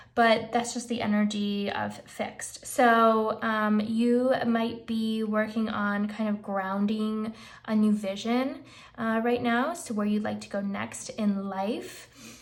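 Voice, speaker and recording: In a room with audible echo, a woman speaks very slowly in a fairly high voice with monotone, flat intonation. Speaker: tarot reader. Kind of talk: tarot reading, casual talk to camera.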